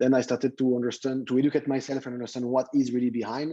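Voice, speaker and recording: A man with a French accent speaks at a medium pitch in a dark, mellow tone. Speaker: tech entrepreneur, company founder. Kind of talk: guest talk to students.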